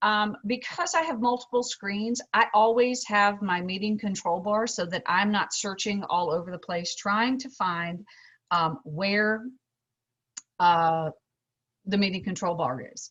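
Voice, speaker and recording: A woman's plain, everyday voice, medium in pitch with ordinary pitch variation, at a fairly slow pace. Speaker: instructional technology trainer. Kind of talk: tutorial.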